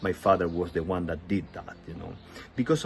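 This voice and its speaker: A man speaks with a Spanish accent in a very deep, low voice. His tone is somewhat breathy. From Chile. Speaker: testimony speaker. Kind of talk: testimony. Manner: halting, with fillers.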